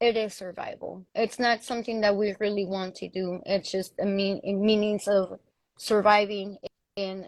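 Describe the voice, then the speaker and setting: A woman is speaking. She has a strong Mexican accent. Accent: thick Mexican Spanish. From Mexico. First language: Spanish. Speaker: panel guest. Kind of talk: casual chat.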